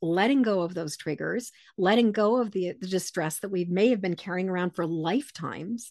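Against a quiet background, a woman with a normal speaking voice talks at a moderate pace and medium pitch, her pitch varying in an ordinary way, in a dry, close sound with no echo. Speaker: empath author and intuitive coach. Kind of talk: interview conversation.

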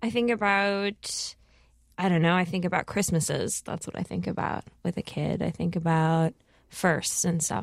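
A woman with an unremarkable speaking voice talks at a moderate pace in a fairly low pitch, in a very clean recording with a silent background. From Minnesota, US, Lao immigrant family. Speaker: comedian, podcast host and filmmaker. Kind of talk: interview.

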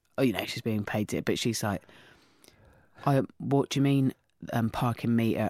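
A woman talks at a fairly quick pace with an English accent, her pitch very deep and low. The recording is very clean, dry and close, with no echo and a silent background. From England, countryside. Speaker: comedian and podcast host. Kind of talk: casual interview chat. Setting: studio. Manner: animated storytelling.

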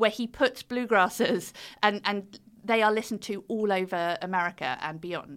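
A woman with a British accent speaks at a fairly high pitch and a moderate pace, with ordinary pitch variation. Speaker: author and fiddle player. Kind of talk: interview about her book.

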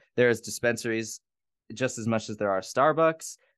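A plain, everyday voice with an American accent and ordinary pitch variation, over a quiet background. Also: man, dry, close sound with no echo. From US Midwest, Gary, Indiana. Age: 20s. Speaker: podcast host, drag performer. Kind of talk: casual chat.

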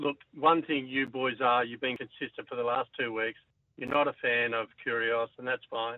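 The voice has an Australian accent. Its intonation is monotone and flat. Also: man. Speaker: caller. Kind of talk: casual radio call-in. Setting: phone call.

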